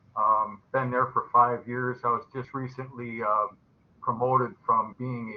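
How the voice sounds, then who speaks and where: There is noticeable background noise behind the speaker. A man talks at a medium pitch with an American accent. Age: 60s. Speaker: adult student. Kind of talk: class introduction.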